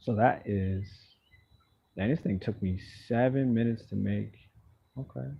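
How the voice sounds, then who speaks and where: Somewhat breathy, relaxed tone from a man at a fairly low pitch, moderate pace with long, frequent pauses, quiet background. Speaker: live streamer. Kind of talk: casual live stream chat. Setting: outdoors. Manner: relaxed, sleepy-sounding.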